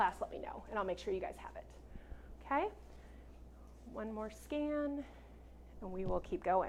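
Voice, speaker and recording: A woman talks at a fairly quick pace, her voice marked by vocal fry. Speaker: real estate trainer. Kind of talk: lecture. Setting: classroom with live audience. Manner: projecting.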